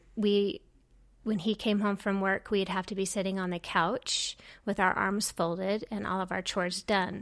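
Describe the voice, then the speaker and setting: In a very clean recording with a silent background, a woman with an American accent speaks at a medium pitch and a fairly slow pace, her intonation monotone and flat. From Utah, US (Orem). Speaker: podcast guest. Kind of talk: interview. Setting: home studio.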